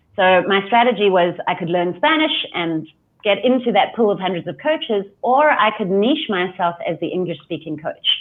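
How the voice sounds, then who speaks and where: With a South African accent, a woman talks at a moderate pace at a medium pitch, her voice swinging very widely up and down. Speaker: life coach. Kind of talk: interview.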